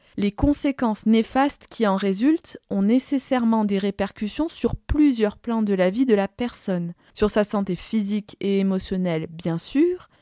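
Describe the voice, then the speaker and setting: A woman's fairly high-pitched voice with a dark, mellow tone and lively intonation, at a fairly slow pace, on a very clean recording with a silent background. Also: dry, close sound with no echo. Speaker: podcast host, addiction professional. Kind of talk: solo podcast monologue, partly scripted.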